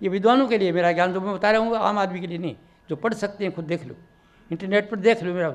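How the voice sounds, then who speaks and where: The words come at a very fast pace with ordinary pitch variation. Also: man, high pitch for a man. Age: 90s. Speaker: spiritual teacher. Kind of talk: sermon. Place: hall. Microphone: handheld.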